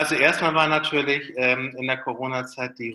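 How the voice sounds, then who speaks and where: Using a bright, sharp tone, a man speaks at a moderate pace with ordinary pitch variation. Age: 40s. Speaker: pastor. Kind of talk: interview answers. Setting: video call.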